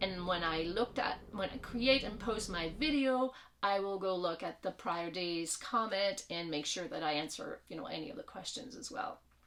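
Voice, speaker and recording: A woman with a French Canadian accent speaks at a moderate pace and medium pitch, her tone bright and sharp and her intonation lively. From Quebec. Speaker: vlogger, hiker. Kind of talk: casual vlog introduction. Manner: hesitant, many fillers.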